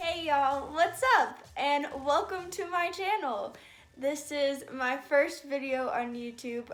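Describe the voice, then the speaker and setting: A woman speaks with an American accent. Her pitch is high. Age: 20s. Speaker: YouTuber. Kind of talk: casual vlog introduction.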